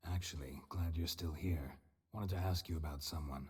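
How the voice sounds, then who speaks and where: A man in a put-on character voice, very deep and low, at a fairly quick pace. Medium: video game. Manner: terse, dry.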